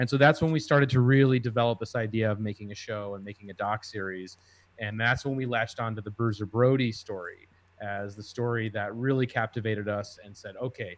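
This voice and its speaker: A man uses a plain, everyday voice at medium pitch with fairly even intonation. He moves at a fairly quick pace, with big swings in loudness. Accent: American. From Minnesota, US. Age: 30s. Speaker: TV documentary producer. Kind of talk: casual interview chat.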